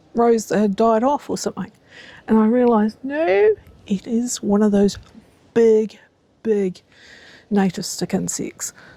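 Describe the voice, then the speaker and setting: A woman whispers in a New Zealand accent. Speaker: gardening vlogger. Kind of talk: casual vlog tutorial. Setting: outdoors in garden. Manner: hesitant, many fillers; whispering.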